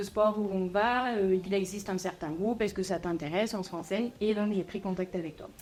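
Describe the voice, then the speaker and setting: Here is a woman with a normal speaking voice at a medium pitch. She talks at a moderate pace with fairly even intonation. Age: 20s. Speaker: coaching client. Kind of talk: interview testimony. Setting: podcast.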